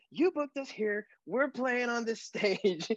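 The pace is moderate as a man talks. His sound is dry and close, carrying no echo. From Quebec, Canada. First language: French. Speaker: singer-songwriter. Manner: casual, chatty.

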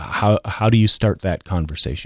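A man talks in a normal speaking voice, fairly low in pitch with ordinary variation, at a moderate pace. The sound is dry and close with no echo. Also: very clean recording, silent background. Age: 50s. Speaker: former radio host. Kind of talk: personal storytelling. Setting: studio.

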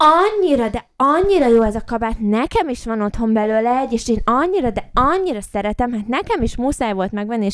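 In a put-on character voice that sounds female, the speaker goes high for a woman and shrill, with hardly any pauses. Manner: shouting and shrieking.

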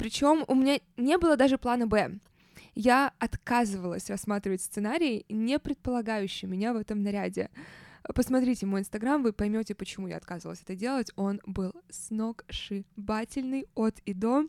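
A woman with a fairly high pitch and ordinary pitch variation speaks at a moderate pace in an animated tone, with a dry, close sound with no echo on a very clean recording with a silent background. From Saint Petersburg, Russia. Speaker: podcast host. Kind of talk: casual storytelling monologue.

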